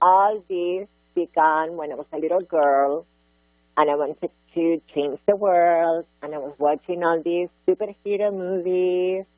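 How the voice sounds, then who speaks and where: A woman speaks at a fairly slow pace with a fairly low pitch and ordinary pitch variation. Music plays in the background. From Barcelona, Catalonia, Spain. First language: Catalan or Spanish. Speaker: art activist and author. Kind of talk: interview. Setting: radio show. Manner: animated.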